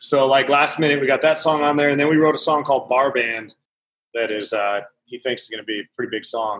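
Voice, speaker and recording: The man's fairly high voice rushes along at a very fast pace, its pitch variation ordinary. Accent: Montana. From Montana. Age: 30s. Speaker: country musician. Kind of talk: casual chat.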